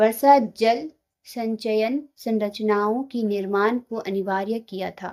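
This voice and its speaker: A woman speaks at a fairly high pitch with fairly even intonation. Her loudness swings widely. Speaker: quiz tutor for exam preparation. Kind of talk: reading out quiz questions and answers. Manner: halting while reading.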